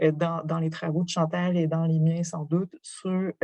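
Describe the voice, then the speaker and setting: Dry and close with no echo, a woman's voice sits at a fairly low pitch with a dark, mellow tone. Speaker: professor. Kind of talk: lecture.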